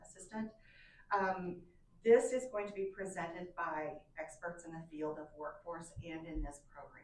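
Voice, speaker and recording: In a room with audible echo, a woman talks in a fairly low voice with fairly even intonation. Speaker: extension educator presenting to county commission. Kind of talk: public meeting presentation. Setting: county commission meeting room. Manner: fast.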